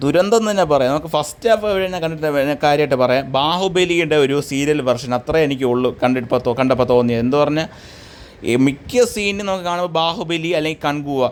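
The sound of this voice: A man's fairly high-pitched voice at a fast pace. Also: ordinary pitch variation.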